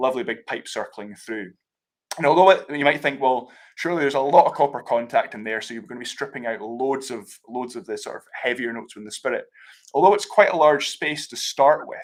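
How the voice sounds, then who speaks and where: A man with a Scottish accent talks at a fairly quick pace and medium pitch, with ordinary pitch variation and big swings in loudness, in a very clean recording with a silent background. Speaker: whisky brand ambassador. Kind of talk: live tasting explanation.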